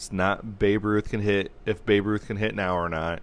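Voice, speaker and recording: Against a silent background on a very clean recording, a man's voice sits fairly low. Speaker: sports podcast host. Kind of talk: casual chat. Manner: loud.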